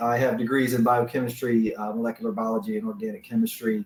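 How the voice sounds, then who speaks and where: A man with a Southern US accent, very wide pitch swings and a very fast pace. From US South. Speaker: business manager presenting products. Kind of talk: webinar presentation. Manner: frequent filler words.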